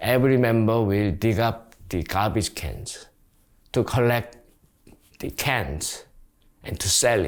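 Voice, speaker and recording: A man at a medium pitch with a Korean accent, lively intonation and a very slow pace, on a very clean recording with a silent background. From South Korea. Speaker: community organizer. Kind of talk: interview. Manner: halting.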